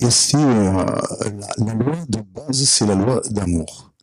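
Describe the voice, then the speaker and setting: With a Provençal accent, a man speaks at a fairly low pitch with ordinary pitch variation. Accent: Provençal southern French. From Provence, southern France. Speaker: audience member. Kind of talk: conference Q&A remark. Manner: halting, many hesitations.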